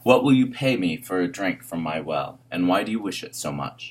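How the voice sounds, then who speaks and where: A man growls in a put-on character voice at a very deep, low pitch. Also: moderate pace. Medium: read story. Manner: growling, grudging.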